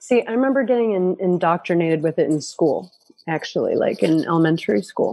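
A woman talks at a fairly quick pace with lively intonation and very even loudness. Her voice sits at a medium pitch with a dark, mellow tone. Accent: US Northeastern. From upstate New York. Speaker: permaculture educator. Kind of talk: casual interview.

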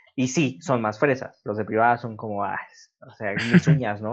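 This man has an unremarkable speaking voice at a medium pitch. He keeps a moderate pace. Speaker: podcast host. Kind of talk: casual chat.

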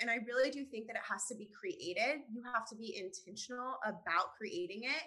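The speaker is a woman with a high pitch. She talks at a moderate pace. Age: 30s. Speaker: productivity coach. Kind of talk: casual chat.

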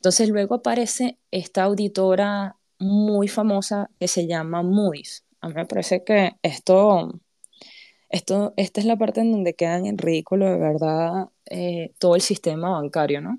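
Recorded dry and close with no echo, a woman speaks in a dark, mellow tone at medium pitch and a fairly slow pace. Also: ordinary pitch variation. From Panama. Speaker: crypto community podcast host. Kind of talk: monologue explainer on live audio space. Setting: live audio space.

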